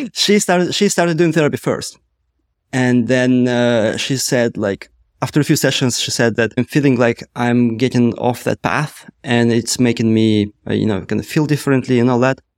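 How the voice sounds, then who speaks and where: With a Russian accent, a man talks at a moderate pace in a dry, close sound with no echo. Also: medium pitch for a man, ordinary pitch variation. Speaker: startup co-founder, former product manager. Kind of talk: casual interview conversation.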